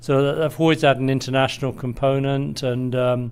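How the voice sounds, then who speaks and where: With a British accent, a man talks at a moderate pace in a monotone, flat intonation. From Britain. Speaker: energy industry executive. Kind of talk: interview.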